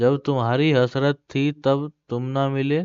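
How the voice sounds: A man speaks very fast at a medium pitch, his intonation fairly even. His tone is clear and smooth, slightly mellow.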